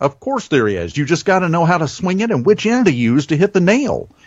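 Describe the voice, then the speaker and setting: Pitch swings very widely as a man talks with a slight Southern US accent. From US South. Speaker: radio host. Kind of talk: interview chat. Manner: varied pace and pitch.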